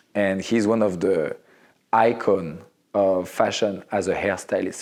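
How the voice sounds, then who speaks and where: Fairly slow speech in a French accent with fairly even intonation. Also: man. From Morocco and Central Africa, French-speaking. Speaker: fashion photographer. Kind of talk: interview. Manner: halting.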